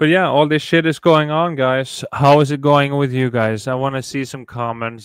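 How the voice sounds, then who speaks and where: With a Norwegian accent, a man talks at a moderate pace in a medium pitch, his intonation fairly even. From Norway. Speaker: YouTuber. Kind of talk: casual livestream chat. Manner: halting.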